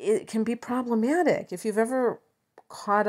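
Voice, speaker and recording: A woman with an American accent, speaking at a moderate pace. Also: very clean recording, silent background. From Chicago suburbs, US Midwest. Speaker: astrologer. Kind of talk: astrology talk to camera. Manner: hesitant, many fillers.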